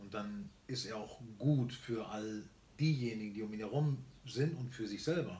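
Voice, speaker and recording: Fairly slow, somewhat breathy speech from a man with a dark, mellow tone, medium pitch, ordinary pitch variation and audible room echo. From Germany, born in Barcelona. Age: 50s. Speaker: entrepreneur and speaker. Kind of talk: casual interview chat. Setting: on a farm, filmed on camera.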